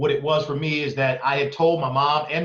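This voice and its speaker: Here a man talks at a moderate pace. He has an American accent. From East Oakland, California. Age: 40s. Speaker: entrepreneur. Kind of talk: interview conversation.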